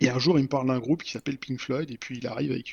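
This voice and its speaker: In a monotone, flat intonation, a man speaks very fast at a medium pitch. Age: 40s. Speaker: software developer and podcaster. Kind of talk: casual chat. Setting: evening recording.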